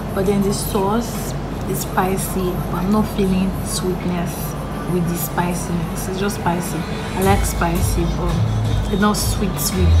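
Clear music plays in the background. A woman speaks at a fairly slow pace. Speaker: vlogger reviewing food. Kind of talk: casual vlog chat. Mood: relaxed, friendly. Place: cafe. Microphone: phone near.

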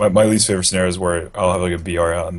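The speaker is a man. His voice is very deep and low in pitch. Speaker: gaming podcast co-host. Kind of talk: casual chat. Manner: mellow. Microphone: video call.

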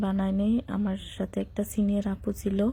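A somewhat breathy woman's voice at medium pitch with a monotone, flat delivery. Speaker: vlogger. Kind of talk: voice-over narration of travel vlog.

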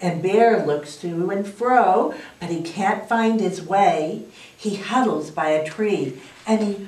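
Pitch variation is ordinary in this unforced reading voice.

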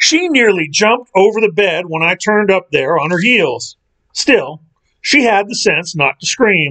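A natural reading voice is heard, with nothing audible in the background.

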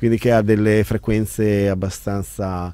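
Fairly low and dark, mellow in tone, a man's voice moves at a fairly slow pace. There is little pitch movement.

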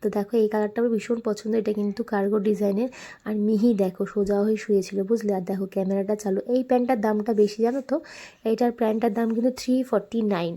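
A dark, mellow tone from a woman pitched fairly high. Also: fairly even intonation. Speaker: lifestyle vlogger. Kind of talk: vlog voice-over narration. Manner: chatty, conversational.

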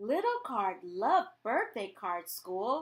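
The text is read in a natural-sounding voice.

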